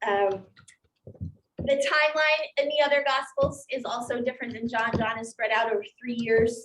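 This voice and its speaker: With a plain, everyday voice, a woman talks at a moderate pace and fairly high pitch, her pitch varying in an ordinary way. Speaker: pastor. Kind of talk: bible study class. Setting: classroom with zoom participants.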